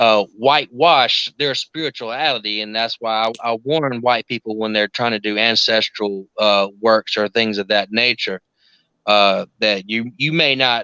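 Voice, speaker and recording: A man with a South Carolina accent, a bright, sharp tone and fairly even intonation, in a quiet background. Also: dry, close sound with no echo. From US South, South Carolina. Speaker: occult practitioner. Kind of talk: casual chat.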